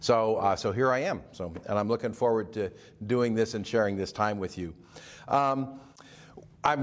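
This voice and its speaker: At a moderate pace, a man talks in an ordinary speaking voice at medium pitch. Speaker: church elder preaching. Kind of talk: sermon. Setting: recorded online church service.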